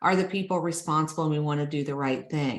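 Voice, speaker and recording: With an American accent, a woman speaks in a very deep, low pitch with ordinary pitch variation. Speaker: healthcare grant consultant. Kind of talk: webinar presentation. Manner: fast.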